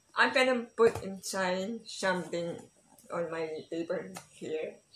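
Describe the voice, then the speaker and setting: A woman talks at a fairly slow pace with medium pitch and ordinary pitch variation. Noticeable background noise is present. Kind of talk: casual unboxing talk to camera.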